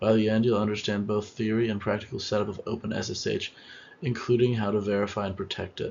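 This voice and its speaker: A man talks quietly at a very fast pace. His fairly low voice has monotone, flat intonation. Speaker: student presenter. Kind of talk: class presentation.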